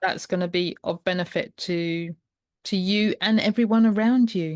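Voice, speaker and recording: Her voice is an unremarkable speaking voice, medium in pitch for a woman, with fairly even intonation at a moderate pace, recorded with a dry, close sound with no echo against a quiet background. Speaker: podcast host, primal health coach. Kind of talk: podcast conversation.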